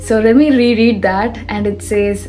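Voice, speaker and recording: Speech in a Telugu accent comes at a fairly slow pace, with noticeable background noise and audible room echo. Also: woman. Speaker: self-help vlogger. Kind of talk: motivational talk. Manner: animated.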